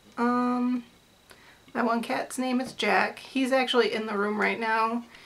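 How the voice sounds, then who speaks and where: The speaker has an American accent and a flat, monotone delivery. There is noticeable noise in the background. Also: woman, high pitch for a woman. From US Midwest, Metro Detroit. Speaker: artist and vlogger. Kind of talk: casual vlog chat. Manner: rambling, with many fillers and tangents.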